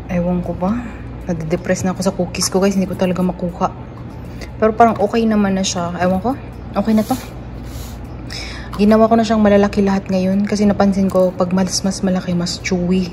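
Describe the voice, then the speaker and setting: Over noticeable background noise, a woman speaks at medium pitch with monotone, flat intonation, a very fast pace, and long, frequent pauses. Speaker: nurse vlogger. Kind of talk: casual vlog.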